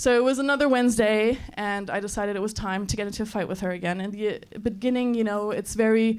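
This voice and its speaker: A woman speaks with an American accent at a fairly quick pace and fairly high pitch. Her intonation is fairly even, and the room echo is audible. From Germany. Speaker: comedian. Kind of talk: stand-up. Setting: stage with audience.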